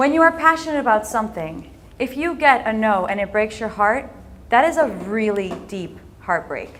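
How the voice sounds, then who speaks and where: The speaker has lively intonation and an animated tone. They talk with an American accent. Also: woman, fairly high pitch for a woman, moderate pace. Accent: sounds American. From Netherlands, raised in several countries at American schools. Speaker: entrepreneur and speaker. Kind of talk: inspirational talk.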